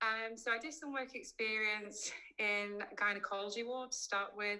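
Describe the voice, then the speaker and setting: Bright, sharp tone from a woman with a Yorkshire accent. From West Yorkshire, England (Keighley). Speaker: cosmetic dentist. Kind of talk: online presentation. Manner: hesitant, many fillers.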